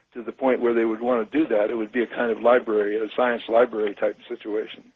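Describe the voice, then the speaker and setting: A man at a medium pitch, very fast, in a monotone, flat delivery. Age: 80s+. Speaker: scientist and author. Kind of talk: radio interview. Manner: halting, repeats words.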